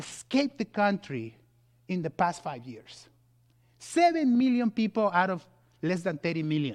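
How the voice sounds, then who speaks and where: On a very clean recording with a silent background and a dry, close sound with no echo, a man talks at a moderate pace with very wide pitch swings. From Mexico. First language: Spanish. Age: 40s. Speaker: guest preacher, pastor. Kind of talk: sermon. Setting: church.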